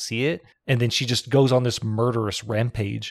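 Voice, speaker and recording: A man speaks with a slight Texan accent. The recording is very clean, with a silent background. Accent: slight Southern Texan. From Texas. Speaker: podcast host. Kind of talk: casual chat.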